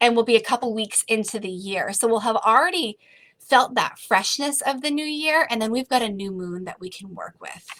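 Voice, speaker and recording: Bright and sharp in tone, a woman with an American accent sounds animated at a fairly high pitch. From Massachusetts, US. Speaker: spiritual coach. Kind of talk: online workshop. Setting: livestream video call. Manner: slow.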